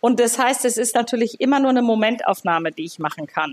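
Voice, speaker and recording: Speaking at a fairly quick pace, a woman uses an ordinary speaking voice pitched fairly high. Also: dry, close sound with no echo. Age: 60s. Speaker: gynecologist. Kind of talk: interview conversation.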